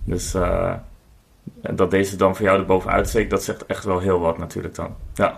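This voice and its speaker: Monotone and flat, a man speaks with a very deep, low pitch. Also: moderate pace. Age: 40s. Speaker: board game designer. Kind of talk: casual chat.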